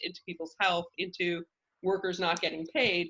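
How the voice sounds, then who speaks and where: A bright, sharp tone at a moderate pace. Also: woman. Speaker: food cooperative representative, guest speaker. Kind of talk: informal presentation. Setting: video call.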